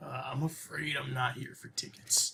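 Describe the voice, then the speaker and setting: A man puts on a raspy character voice at a fairly high pitch. He delivers it at a moderate pace. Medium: actual play.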